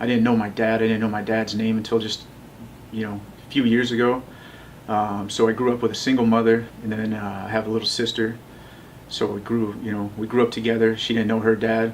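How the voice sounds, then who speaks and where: With a General American accent, a man speaks at a medium pitch and a fairly quick pace. His intonation is monotone and flat, and room echo is audible. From US West, Las Vegas. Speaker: tattoo artist and city council candidate. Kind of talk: interview, life story.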